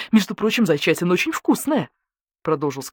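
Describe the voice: The clip is plain reading aloud. The background is quiet.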